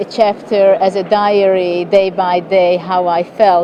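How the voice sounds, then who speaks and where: With noticeable background noise behind her, a woman with a Hungarian accent speaks at a medium pitch in a flat, monotone way. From Hungary. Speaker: chess grandmaster. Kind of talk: interview answer.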